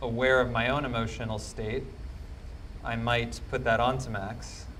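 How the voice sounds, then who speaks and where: A man talks at a moderate speed, and the room adds audible echo. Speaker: psychic empath. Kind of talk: live demonstration talk. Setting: stage with audience. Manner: loud.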